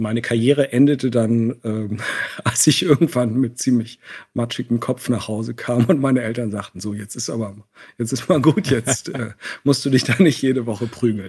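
A man talks in an unremarkable speaking voice at a medium pitch. His pace is moderate, with ordinary pitch variation. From East Germany, Leipzig and East Berlin. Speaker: painter, visual artist. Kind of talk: interview. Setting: remote call from Berlin.

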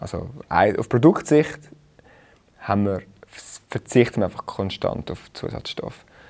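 A man speaks at a medium pitch and a fairly slow pace, with lively intonation, big swings in loudness and long, frequent pauses. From Switzerland, Rheinfelden. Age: 30s. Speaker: food startup founder. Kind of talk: casual chat.

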